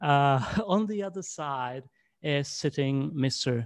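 In a very clean recording with a silent background, a man with a Czech accent speaks in a fairly high pitch with lively intonation. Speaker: English teacher, interviewer. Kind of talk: interview. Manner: halting.

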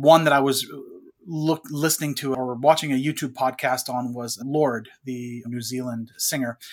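Here is a man with an ordinary speaking voice, medium in pitch and moderate in pace. His intonation is fairly even, and the recording is very clean with a silent background. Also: big swings in loudness. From French Canada. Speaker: podcast co-host. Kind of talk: casual chat.

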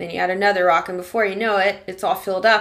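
Fairly even in intonation and medium in pitch, a woman speaks with an unremarkable speaking voice. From Arkansas, US South. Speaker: podcast host. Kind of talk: casual interview chat.

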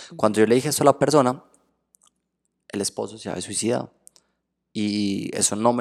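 A fairly low-pitched man's voice with vocal fry and an animated tone, very fast delivery broken by long, frequent pauses. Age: 20s. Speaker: tarot reader and spiritual therapist. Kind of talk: casual interview chat.

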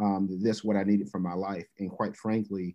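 With an American accent, a man talks at a fairly quick pace in a fairly low pitch. It is a normal speaking voice with fairly even intonation. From US South, Birmingham, Alabama. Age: 30s. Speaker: university athletics director. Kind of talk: podcast interview.

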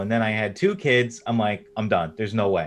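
Over music in the background, a man with an American accent talks at a fairly quick pace. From US East Coast, New York. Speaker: indie game developer. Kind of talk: casual interview chat.

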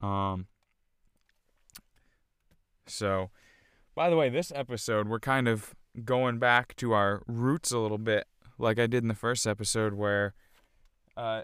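On a very clean recording with a silent background, a man talks at a fairly low pitch and fairly slow pace, his tone clear, smooth and fairly bright, with ordinary pitch variation and long, frequent pauses.

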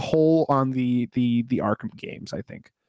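At a fairly slow pace, a man with a plain, everyday voice speaks with ordinary pitch variation in a dry, close sound with no echo. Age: 30s. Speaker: movie podcast co-host. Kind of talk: casual chat.

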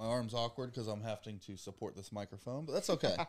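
Very fast and animated, a man with an American accent talks at a medium pitch. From US South. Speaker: podcast host. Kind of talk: casual chat.

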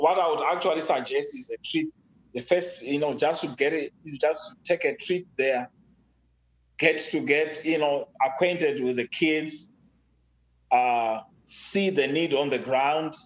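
With a Zimbabwean accent, a man speaks in a fairly high voice with ordinary pitch variation. His pace is fairly slow, broken by long, frequent pauses. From rural Zimbabwe. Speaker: father of the host, technology advocate. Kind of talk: casual interview. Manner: hesitant, many fillers and repeats.

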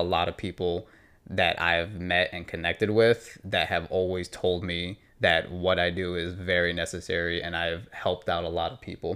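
On a very clean recording with a silent background, a man talks at a moderate pace in a very deep, low pitch. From New York and New Jersey. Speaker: fitness trainer, gym owner. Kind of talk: casual interview.

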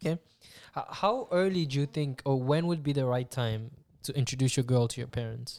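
A man with an unremarkable speaking voice, fairly quick and medium-pitched, ordinary pitch variation, on a very clean recording with a silent background. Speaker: podcast host. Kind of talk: casual chat.

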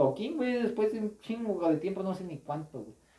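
With a Mexican accent, a man speaks at a moderate pace and with lively intonation. Noticeable background noise runs behind him. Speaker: podcast co-host and gaming youtuber. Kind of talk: casual chat.

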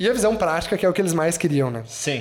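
There is noticeable background noise behind a man with a fairly high pitch. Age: 30s. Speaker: agency director and university professor. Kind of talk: casual interview chat.

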